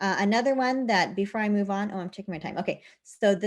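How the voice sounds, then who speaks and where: A woman's medium-pitched voice with ordinary pitch variation, set against a quiet background. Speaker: teacher technology trainer. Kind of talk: tutorial. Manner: fast.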